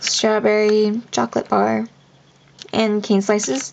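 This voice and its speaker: A woman at medium pitch and very slow pace, with noticeable background noise. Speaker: polymer clay charm maker. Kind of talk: casual craft show-and-tell to camera.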